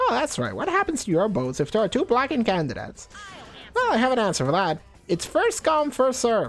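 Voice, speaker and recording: Speaking very fast in a put-on character voice, a man uses a high pitch while faint music plays in the background. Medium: game stream. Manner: playful, smug.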